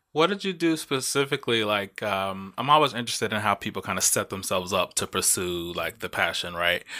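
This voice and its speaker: In an ordinary speaking voice, a man talks at a fairly low pitch with lively intonation and hardly any pauses, on a very clean recording with a silent background. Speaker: podcast host. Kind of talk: casual chat.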